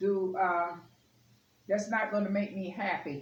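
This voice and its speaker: Over noticeable background noise, a woman speaks as audible room echo follows her words. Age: 60s. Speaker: lifestyle vlogger. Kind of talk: casual home tutorial vlog. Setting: at home at the table. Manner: casual, chatty with filler words. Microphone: camera far from speaker.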